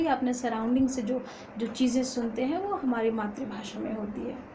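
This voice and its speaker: With noticeable background noise and audible room echo, a woman talks at a high pitch. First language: Magahi (speaking Hindi). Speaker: college student and poet. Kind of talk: informal lecture. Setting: at home. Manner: halting with frequent fillers.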